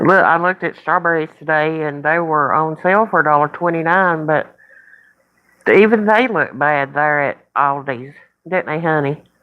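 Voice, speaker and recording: A woman's very deep, low voice moves at a moderate pace, its pitch varying in an ordinary way. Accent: American. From Virginia. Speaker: live stream host. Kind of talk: casual live stream chat.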